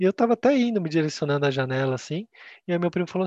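The man's pitch is fairly high and his pace very fast. The sound is dry and close, with no echo. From Brazil, Campinas (São Paulo state). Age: 20s. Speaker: customer experience coordinator, podcast co-host. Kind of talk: casual chat.

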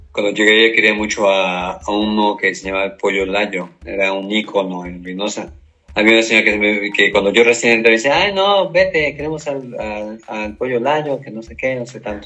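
Speaking at a moderate pace with hardly any pauses, a man uses a fairly low pitch, ordinary pitch variation and big swings in loudness. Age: 50s. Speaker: sports team mascot performer. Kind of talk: interview. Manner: halting.

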